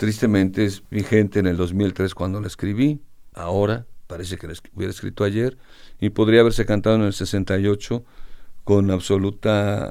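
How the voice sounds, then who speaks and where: A man speaks at a moderate pace with a fairly low pitch, a dark, mellow tone and fairly even intonation. He leaves long, frequent pauses, and the recording is very clean with a silent background. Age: 60s. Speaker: singer-songwriter. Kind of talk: interview.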